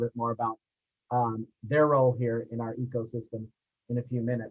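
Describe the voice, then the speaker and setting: Music plays behind the speaker. He is a man talking at a fairly quick pace. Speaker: university administrator and panel moderator. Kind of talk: webinar panel presentation. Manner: loud.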